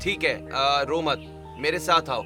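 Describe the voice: A man's put-on character voice, fairly high-pitched and slow, bright and sharp in tone, with ordinary pitch variation and faint music in the background.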